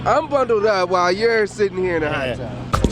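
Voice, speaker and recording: Noticeable background noise behind a man with a high pitch, lively intonation and a moderate pace. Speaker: sports anchor and reporter. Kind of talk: on-location TV reporting, montage of stand-ups.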